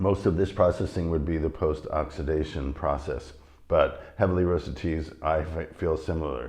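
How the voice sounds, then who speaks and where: A raspy, very deep, low put-on character voice from a man at a moderate pace. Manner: talking fast.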